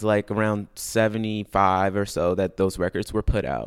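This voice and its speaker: A man speaks in a normal speaking voice at a fairly low pitch and a moderate pace. The sound is dry and close with no echo, on a very clean recording with a silent background. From US Midwest, Chicago. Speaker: classical vocalist. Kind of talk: interview. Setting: studio.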